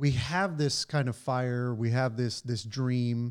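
This is a man with an unremarkable speaking voice at medium pitch and ordinary pitch variation. He keeps a moderate pace on a very clean recording with a silent background. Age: 30s. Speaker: podcast host. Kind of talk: casual chat.

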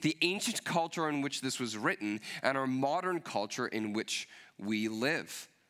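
Medium in pitch, a man's voice carries a bright, sharp tone and lively intonation. The recording is very clean, with a silent background. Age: 30s. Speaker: pastor. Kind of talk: sermon.

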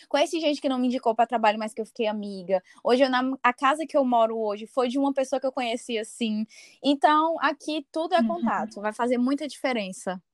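In a very clean recording with a silent background and a dry, close sound with no echo, a woman with a high pitch talks very fast. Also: ordinary pitch variation. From Brazil, Fortaleza, Ceará. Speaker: lawyer living abroad on exchange. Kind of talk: interview, personal testimony. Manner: halting, many fillers.

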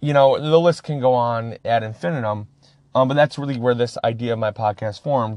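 A man with an American accent, medium in pitch, at a fairly quick pace, with ordinary pitch variation and a plain, everyday voice. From Upper Peninsula of Michigan. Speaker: podcast host in addiction recovery. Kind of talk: personal testimony monologue.

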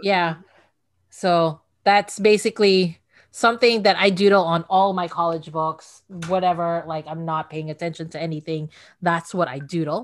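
A woman with an American accent and a plain, everyday voice speaks at a moderate pace and fairly low pitch, with fairly even intonation and big swings in loudness. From outside the US. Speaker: podcaster who reads classic books aloud. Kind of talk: interview. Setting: video call.

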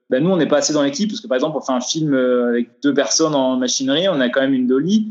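Fairly high-pitched, a man's voice moves in very wide pitch swings. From France, Vosges. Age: 20s. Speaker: film grip. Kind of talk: interview. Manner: hesitant, many fillers. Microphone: poor sound quality, lockdown recording.

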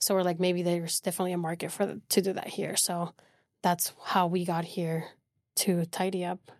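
Over a very clean recording with a silent background, a woman speaks at a moderate pace in a monotone, flat intonation. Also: fairly low pitch for a woman. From Venezuela. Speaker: cleaning business owner. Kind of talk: podcast interview.

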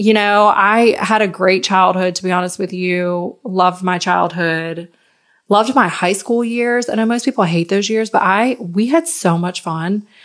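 With a slight Southern US accent, a woman speaks in an animated, enthusiastic tone at a fairly slow pace with ordinary pitch variation. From Virginia, US. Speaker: intuitive life coach and podcast host. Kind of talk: solo podcast monologue, personal storytelling. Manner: animated, enthusiastic, chatty.

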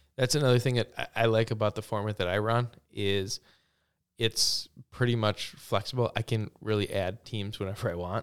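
A man with an American accent speaks in a normal speaking voice at medium pitch and a moderate pace. The very clean recording has a silent background and a dry, close sound with no echo. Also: fairly even intonation. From Wisconsin, Stevens Point area. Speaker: small business owner, cornhole league organizer. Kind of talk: interview.

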